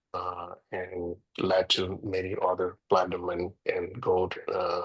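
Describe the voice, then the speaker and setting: A man with a Portuguese accent. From Brazil, Rio de Janeiro. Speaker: real estate agent and former music producer. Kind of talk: interview. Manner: halting.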